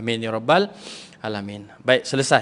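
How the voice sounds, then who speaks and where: A man's fairly even intonation, with a slight Sabah accent. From Sabah, Malaysia (Lahad Datu). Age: 30s. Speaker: religious preacher and lecturer. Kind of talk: religious talk to women's audience. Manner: casual, relaxed.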